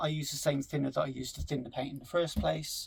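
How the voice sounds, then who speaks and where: A man with a strong West Country accent. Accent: strong West Country-sounding English. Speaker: scale model hobbyist. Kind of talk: tutorial. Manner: hesitant, many fillers.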